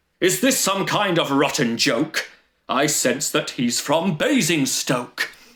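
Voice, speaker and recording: A man puts on a character voice, fairly high in pitch and delivered at a fairly slow pace. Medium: read story. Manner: menacing.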